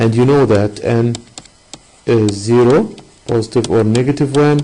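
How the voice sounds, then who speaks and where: A man at a fairly slow pace, his pitch medium, with noticeable background noise. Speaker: math teacher. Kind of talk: online lesson. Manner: hesitant, many fillers.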